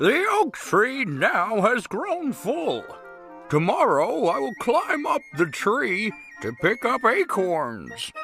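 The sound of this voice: Over clear background music, a man puts on a cartoonish character voice, high-pitched for a man, with very wide pitch swings and a very slow pace.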